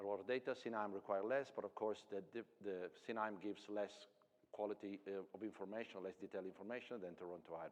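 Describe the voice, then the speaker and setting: At a fairly quick pace, a man talks in a fairly low pitch. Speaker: technology company presenter. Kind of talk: conference presentation. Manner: fast.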